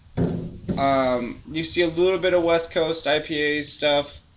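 Noticeable background noise runs under a man whose pitch varies in an ordinary way. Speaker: beer podcast co-host. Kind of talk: casual chat.

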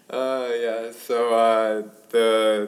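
Flat, monotone intonation marks this man's fairly low voice, spoken with an American accent. Audible room echo is present. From South Jersey, near Philadelphia. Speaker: graduate student. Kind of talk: casual interview.

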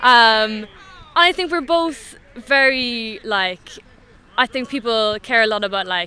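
Her fairly high pitch comes with lively intonation as this woman speaks. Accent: Cork. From Ireland, West Cork. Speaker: amateur Gaelic football player. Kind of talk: interview.

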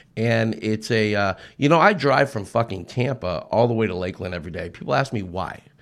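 His pace stays moderate. The speaker is a man with an American accent. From Southern California. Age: 40s. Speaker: car salesman. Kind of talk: casual chat. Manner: halting.

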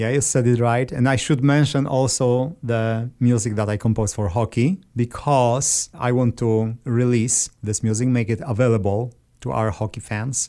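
In a very clean recording with a silent background, a man with a Polish accent speaks at a moderate pace and medium pitch, with a dark, mellow tone, fairly even intonation and hardly any pauses. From Poland. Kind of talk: interview.

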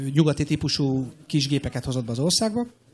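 Here a man speaks at a fairly high pitch and a moderate pace. His voice is somewhat breathy, with ordinary pitch variation. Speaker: airline captain. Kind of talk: interview. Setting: stage with audience.

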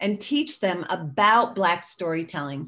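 A woman with a plain, everyday voice, medium in pitch and at a fairly slow pace, against a quiet background. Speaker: storyteller. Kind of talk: interview.

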